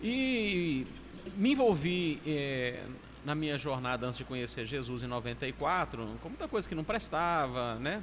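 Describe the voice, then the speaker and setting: His pitch is fairly high for a man, and this man's voice swings very widely in pitch. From Minas Gerais, Brazil. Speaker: pastor. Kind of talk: casual chat.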